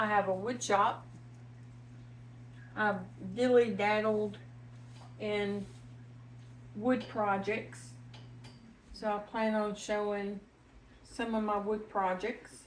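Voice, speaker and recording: Audible room echo fills this very slow delivery, with ordinary pitch variation and long, frequent pauses. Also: woman, medium pitch for a woman. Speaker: home cooking channel host. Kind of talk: cooking tutorial. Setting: home kitchen. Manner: casual, chatty.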